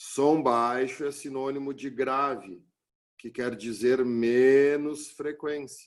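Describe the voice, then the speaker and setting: Talking at a very slow pace, a man keeps his intonation fairly even while his loudness swings widely. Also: medium pitch for a man. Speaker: physics teacher. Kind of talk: lecture.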